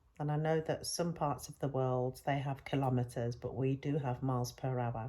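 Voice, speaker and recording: A British-accented woman speaks at a moderate pace with a very deep, low pitch and a dark, mellow tone. The recording is very clean, with a silent background. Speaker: spiritual teacher. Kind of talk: spiritual talk. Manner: hesitant, with fillers.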